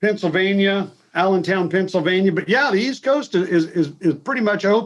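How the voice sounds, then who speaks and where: At a moderate pace, the voice shows ordinary pitch variation. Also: man, high pitch for a man. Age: 60s. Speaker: fishing nonprofit founder. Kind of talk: casual interview chat. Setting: video call.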